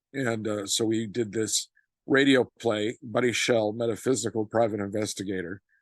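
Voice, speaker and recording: A man's fairly low voice with an American accent, at a moderate pace with fairly even intonation, dry and close with no echo. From Illinois, US Midwest. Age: 60s. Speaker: author and stage actor. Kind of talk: interview. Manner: halting, many fillers and repetitions.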